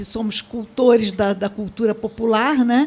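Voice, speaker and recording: Her voice is fairly high in pitch. This woman talks at a very slow pace. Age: 80s+. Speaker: samba researcher and panelist. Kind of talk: seminar panel talk. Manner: halting.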